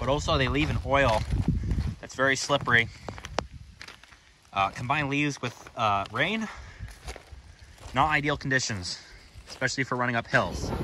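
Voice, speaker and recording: Over noticeable background noise, a man speaks at a moderate pace. He takes long, frequent pauses. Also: ordinary pitch variation, dry sound with no echo. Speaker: railfan vlogger. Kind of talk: casual vlog chat. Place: open country. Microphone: phone near.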